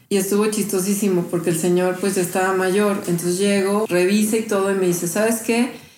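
Against noticeable background noise, a woman speaks at a fairly quick pace in a medium pitch, with monotone, flat intonation and very even loudness. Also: hardly any pauses. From Mexico City. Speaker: healer and graphic designer. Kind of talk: interview testimony. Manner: casual, hesitant with fillers.

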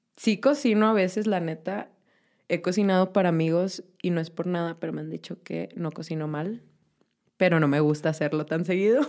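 With a Mexican accent, a woman speaks at a fairly low pitch and a moderate pace, her pitch varying in an ordinary way, on a very clean recording with a silent background. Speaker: vegan guest. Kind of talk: casual chat.

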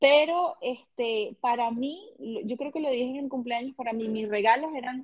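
With a high pitch and ordinary pitch variation, a woman speaks at a fairly slow pace. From Venezuela. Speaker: podcast co-host. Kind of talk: casual chat.

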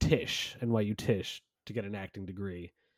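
Fairly even intonation in a New York accent, with a dry, close sound with no echo on a very clean recording with a silent background. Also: man. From New York, New Rochelle. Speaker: comedian, podcast co-host. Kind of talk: casual chat.

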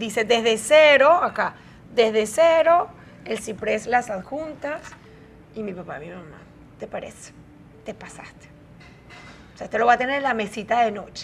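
A woman's fairly high voice at a fairly slow pace, with big swings in loudness, long, frequent pauses, and music in the background. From Venezuela, Caracas. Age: 40s. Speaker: media personality. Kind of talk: interview.

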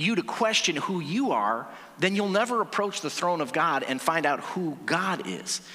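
Over noticeable background noise, a man with a high voice talks at a moderate pace, his pitch swinging very widely. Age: 40s. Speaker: pastor. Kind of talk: sermon. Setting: church. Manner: animated.

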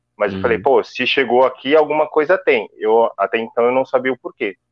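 With lively intonation, a man talks at a fairly quick pace in a fairly high pitch. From São Paulo, Brazil (Itaquera, east side). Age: 30s. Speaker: physical education professional. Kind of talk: live-stream interview. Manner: halting, repetitive.

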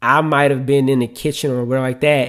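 This very clean recording with a silent background features a man with an American accent. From US South, New Orleans. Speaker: podcast host, father. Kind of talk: solo podcast monologue. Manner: casual, with frequent fillers.

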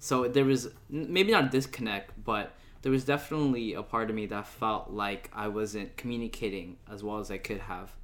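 Here is a man with an American accent and an ordinary speaking voice at medium pitch. He keeps a moderate pace with ordinary pitch variation. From United States, Filipino American. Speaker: podcast host. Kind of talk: casual interview.

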